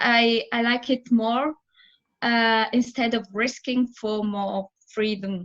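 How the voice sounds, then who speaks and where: A woman with an Italian accent speaks at a fairly high pitch and a very slow pace. The background is quiet. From Italy. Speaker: theatre director. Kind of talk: interview. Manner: halting.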